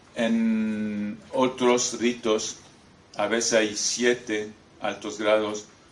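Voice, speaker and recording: This man's voice is fairly low and monotone, with flat intonation. He talks at a very slow pace amid audible room echo. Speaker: former freemason, author. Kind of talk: lecture. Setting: talk in front of an audience. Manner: halting, with many hesitations.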